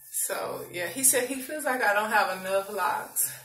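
A woman talks in a medium-pitched voice. Behind her, music is playing. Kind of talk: casual talk to camera.

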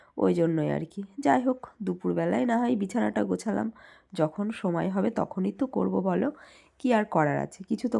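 A woman's fairly low voice with a dark, mellow tone, vocal fry, and very wide pitch swings. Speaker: vlogger, homemaker. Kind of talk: casual vlog narration.

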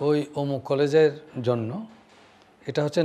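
The man's voice is fairly high in pitch, with a dark, mellow tone and ordinary pitch variation. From Bangladesh, Dhaka; Bangladesh. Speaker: elder interviewee recalling history; interviewee. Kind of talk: interview. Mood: warm, reflective. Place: home room.

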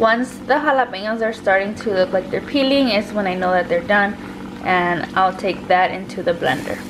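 A woman talks at a moderate pace with ordinary pitch variation. There is noticeable background noise. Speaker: home cook vlogger. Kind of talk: casual cooking tutorial vlog. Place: kitchen. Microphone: phone near.

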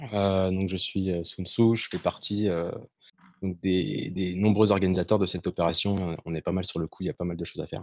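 A man speaks in a very deep, low voice with a monotone, flat intonation and a dry sound with no echo. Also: moderate pace. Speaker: activist organizer. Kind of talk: explanation. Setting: video call.

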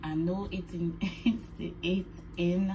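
A woman speaks over noticeable background noise. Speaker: vlogger. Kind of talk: casual vlog chat. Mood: anxious, sad, subdued. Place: home room. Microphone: phone near.

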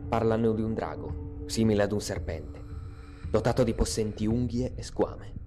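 A man with a fairly low pitch speaks while music plays in the background. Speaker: narrator. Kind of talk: legend narration. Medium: read story.

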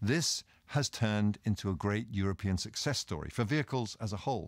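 A man with a British accent, fairly low in pitch and fairly quick, with lively intonation, a quiet background and a dry sound with no echo. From Britain. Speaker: senior government official. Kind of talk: prepared speech. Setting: recorded video message. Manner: formal.

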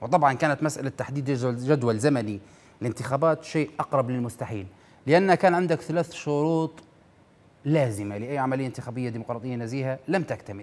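Animated in tone, a man talks at a fairly quick pace with ordinary pitch variation. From Libya. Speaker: TV news show host. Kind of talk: political commentary monologue. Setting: TV studio, live. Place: studio. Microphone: lapel.

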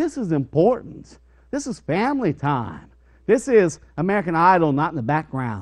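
A male voice over a quiet background. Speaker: preacher. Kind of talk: sermon. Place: church.

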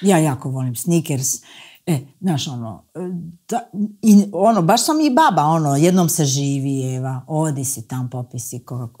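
Against a quiet background, a woman with a very deep, low pitch and a dark, mellow tone speaks at a fairly slow pace with lively intonation. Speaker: musician and TV presenter; TV presenter. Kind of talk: casual chat. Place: studio. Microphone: lapel.

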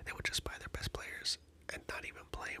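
Someone whispers over noticeable background noise. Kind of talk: ASMR whisper video. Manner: whispered, soft-spoken.

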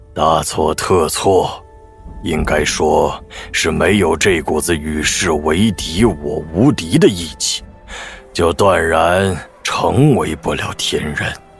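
A man puts on a raspy character voice, very deep and low in pitch, at a fairly slow pace. Faint music plays in the background. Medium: audio drama. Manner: teasing, relaxed.

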